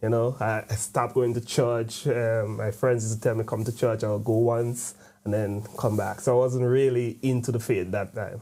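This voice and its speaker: A man's dark, mellow voice at a medium pitch, flat and monotone, at a moderate pace. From Grenada, Caribbean. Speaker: convert interviewee. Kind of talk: testimony. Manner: halting, with frequent fillers.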